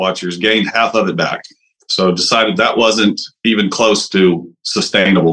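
A man speaks with a Texan accent in a bright, sharp tone. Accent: Texan Southern US. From East Texas. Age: 40s. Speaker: caller seeking fitness advice. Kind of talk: call-in question. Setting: video call.

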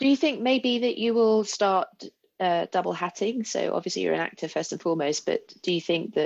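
Vocal fry runs through a woman's speech, which has lively intonation. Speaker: interviewer. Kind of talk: interview.

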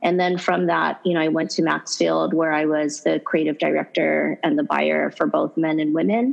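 A woman keeps a moderate pace while noticeable background noise fills the recording. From Hawaii. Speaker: fashion brand founder and CEO. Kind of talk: interview conversation.

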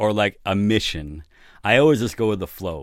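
A man with lively intonation in a New York accent. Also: very clean recording, silent background. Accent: New York American. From New York City. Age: 50s. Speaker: recording studio owner and producer. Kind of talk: casual interview. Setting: recording studio.

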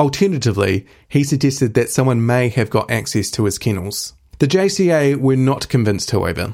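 In a very clean recording with a silent background, a man with a New Zealand accent talks fairly quickly at a medium pitch, with lively intonation and very even loudness. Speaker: podcast host for an animal rights group. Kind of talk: scripted news narration.

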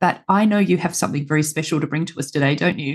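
A woman talks with an Australian accent. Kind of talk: interview. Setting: video call.

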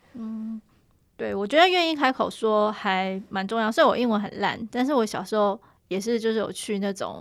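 A woman's fairly high voice in a Taiwanese accent, at a moderate pace with ordinary pitch variation. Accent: Taiwanese Mandarin. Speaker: podcast host and journalist. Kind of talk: casual interview chat.

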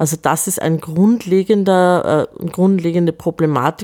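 Dark, mellow tone with a dry, close sound and no echo. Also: woman. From Upper Austria. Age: 40s. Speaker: film festival director and artist. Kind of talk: interview.

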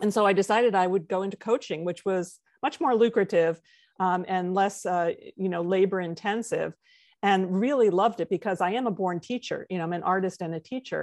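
A woman talks with an American accent in a normal speaking voice over a quiet background. Her pitch is medium with ordinary pitch variation, and her pace fairly quick. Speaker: textile artist. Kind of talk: interview.

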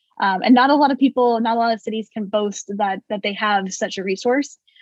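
A woman speaks with an American accent in an ordinary speaking voice. Her pitch is fairly high, her pace moderate and her intonation fairly even. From California Central Valley. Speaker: city government manager. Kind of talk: interview.

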